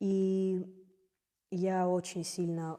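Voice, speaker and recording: Her fairly low, dark, mellow voice stays monotone and flat as this woman speaks. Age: 20s. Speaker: jazz singer. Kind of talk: interview.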